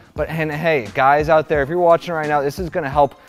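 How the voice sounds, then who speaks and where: Faint music plays softly behind the talking. The speaker is a man. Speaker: fitness coach. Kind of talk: tutorial. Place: gym. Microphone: lapel.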